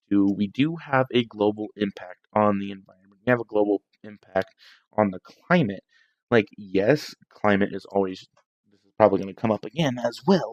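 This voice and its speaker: Quiet and dry, with a close sound and no echo, a man speaks at a moderate pace with ordinary pitch variation and big swings in loudness. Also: fairly low pitch for a man. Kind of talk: casual political talk livestream. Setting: at home, night. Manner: quiet, hushed.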